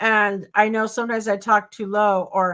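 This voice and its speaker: A loud woman's voice, bright and sharp in tone and fairly high in pitch, on a very clean recording with a silent background. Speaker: YouTuber. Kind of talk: casual chat.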